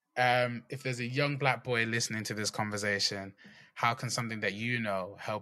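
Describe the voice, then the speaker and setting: Bright and sharp in tone, a man speaks with a British accent and fairly even intonation. The recording is very clean, its background silent. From England. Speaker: podcast host. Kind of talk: casual interview.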